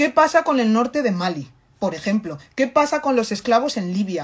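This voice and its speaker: Delivered at a fairly quick pace, the speech is animated in tone with very wide pitch swings. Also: woman. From Africa. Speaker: activist commentator. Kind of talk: impassioned monologue. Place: home room. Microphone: phone near.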